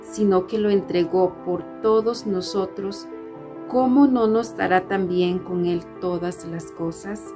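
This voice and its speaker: Over clear music in the background, a woman with fairly low pitch and a warm tone speaks at a very slow pace with very wide pitch swings. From Costa Rica. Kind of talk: religious devotional talk. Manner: warm, friendly. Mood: warm, gentle, earnest. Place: home room. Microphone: phone near.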